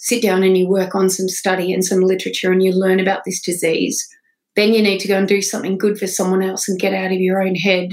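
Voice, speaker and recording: Speaking at a fairly quick pace, a woman with a rural Australian accent uses a medium pitch. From northwestern New South Wales, Australia. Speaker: founder of a sobriety non-profit. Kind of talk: interview.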